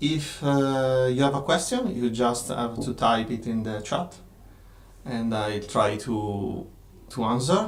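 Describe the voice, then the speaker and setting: A man with a slight Italian accent speaks very slowly at medium pitch with ordinary pitch variation, and room echo is audible. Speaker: game designer and studio owner. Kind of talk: live stream Q&A. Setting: live stream from office. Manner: halting, many fillers.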